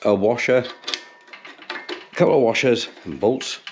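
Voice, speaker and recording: This man speaks with an English accent. His pace is fairly slow. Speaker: bicycle restoration YouTuber. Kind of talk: tutorial. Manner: casual.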